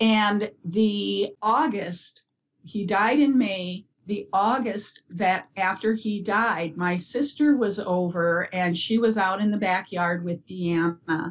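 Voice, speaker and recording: Somewhat breathy, a woman speaks at medium pitch and a very slow pace. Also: ordinary pitch variation. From US Upper Midwest (northern Minnesota). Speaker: bereaved parent and early childhood educator. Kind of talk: interview about grief.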